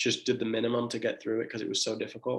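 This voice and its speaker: A man with an American accent and a monotone, flat intonation. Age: 20s. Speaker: medical resident physician. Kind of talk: Q&A talk to students. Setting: livestream. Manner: casual, encouraging.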